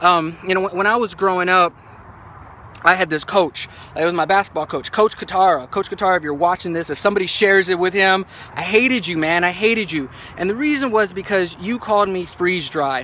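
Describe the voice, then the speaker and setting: A raised, projected voice at a fairly quick pace with ordinary pitch variation. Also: man, high pitch for a man. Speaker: motivational vlogger. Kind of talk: motivational talk. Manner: fast; halting, many fillers and repeats.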